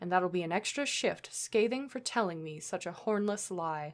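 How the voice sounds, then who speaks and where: Putting on a growling character voice, a woman speaks at a moderate pace with medium pitch and lively intonation, recorded very cleanly over a silent background. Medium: read story. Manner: snarling, gloating.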